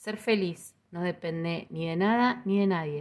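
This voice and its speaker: On a very clean recording with a silent background, a woman with a fairly low voice speaks at a very slow pace in a calm, gentle tone, with ordinary pitch variation. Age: 50s. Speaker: podcast host, Ho'oponopono teacher. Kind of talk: spiritual talk.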